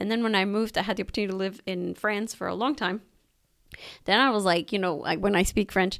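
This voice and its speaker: Very fast speech with a slight Mexican accent, fairly even intonation, and a very clean recording with a silent background. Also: woman, medium pitch for a woman. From Mexico. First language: Spanish. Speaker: podcast host, cultural center director. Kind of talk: casual chat.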